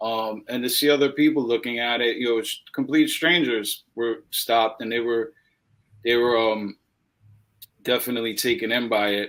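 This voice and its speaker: Using a plain, everyday voice, a man with an American accent speaks at a medium pitch and a moderate pace with fairly even intonation. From New York. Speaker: animal rights activist. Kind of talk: interview.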